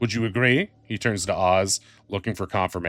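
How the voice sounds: This clip features a natural reading voice.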